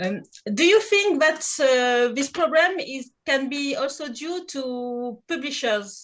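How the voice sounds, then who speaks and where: A woman's high voice with a French accent, very slow in pace, with lively intonation. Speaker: event host. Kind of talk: panel moderation. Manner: halting.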